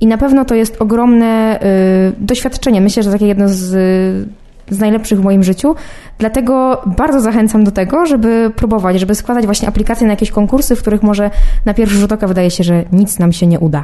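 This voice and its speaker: A woman's fairly high voice at a very fast pace, with ordinary pitch variation and very even loudness. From Poland. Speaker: film student, youth jury member. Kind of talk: personal statement to camera. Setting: film festival.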